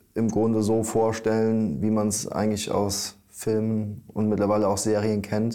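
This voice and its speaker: With audible room echo, a man speaks at a moderate pace in a fairly low pitch and a dark, mellow tone. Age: 30s. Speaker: newspaper editor. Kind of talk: interview. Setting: newspaper office. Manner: hesitant, many fillers.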